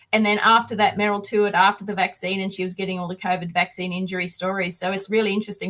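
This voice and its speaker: Bright and sharp in tone, a woman's medium-pitched voice comes with an Australian accent. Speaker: activist touring on a bus. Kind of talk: interview on a video call.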